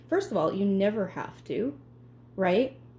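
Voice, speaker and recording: A woman speaks at a moderate pace. Her tone is dark and mellow, somewhat breathy. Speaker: home baking video host. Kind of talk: cooking tutorial. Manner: pauses often while speaking; casual, chatty.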